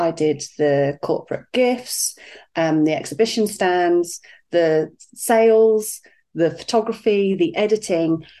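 Woman with a British accent, fairly low pitch, ordinary pitch variation and a dark, mellow tone at a very slow pace, her loudness very even. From UK. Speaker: life coach. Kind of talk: interview.

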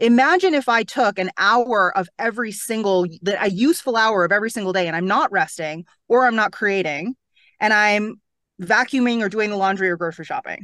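In a plain, everyday voice with a Canadian accent, a woman talks at a fairly quick pace and fairly high pitch, with ordinary pitch variation over a quiet background. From Toronto, Canada. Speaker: real estate coach. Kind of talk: interview.

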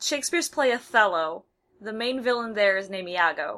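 A woman with a Midwestern American accent speaks at a fairly high pitch. The recording is very clean, with a silent background. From US Midwest. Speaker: podcast co-host. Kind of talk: casual chat. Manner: animated.

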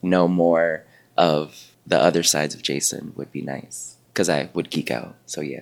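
This man has a very deep, low pitch and an American accent. His pitch variation is ordinary. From New York City, Washington Heights (Dominican family). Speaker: dancer and actor. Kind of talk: interview. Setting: conference.

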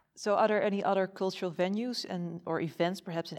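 A woman with a Dutch accent at a very fast pace. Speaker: podcast host. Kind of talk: interview; scripted introduction. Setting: museum.

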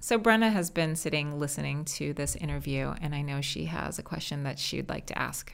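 A woman with a Californian accent, at a fairly quick pace. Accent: Californian American. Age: 40s. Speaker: podcast host, company founder. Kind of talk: interview.

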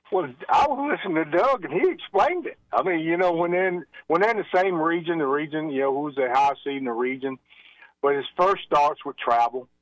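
Lively intonation at a fairly quick pace. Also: man, high pitch for a man. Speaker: state athletic association executive director. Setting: phone call.

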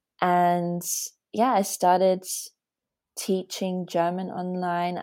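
With an Australian accent, a woman speaks at a fairly slow pace in a fairly low pitch. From Australia, Latvian family. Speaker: personal development coach and polyglot. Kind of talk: casual interview chat. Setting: remote call.

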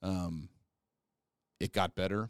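Speech comes at a very slow pace with a Midwestern American accent. The sound is dry and close with no echo, on a very clean recording with a silent background. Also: man. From north central Kansas. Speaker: podcast host, health educator. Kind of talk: casual interview conversation.

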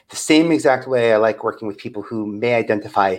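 A normal speaking voice in an American accent, its pitch varying in an ordinary way. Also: man. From New York, Staten Island. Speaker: media producer and talent developer. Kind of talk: interview.

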